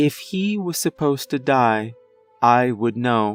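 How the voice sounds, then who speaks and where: A put-on character voice goes at a fairly slow pace over faint music in the background. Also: man, medium pitch for a man. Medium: read story. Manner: flat, calm.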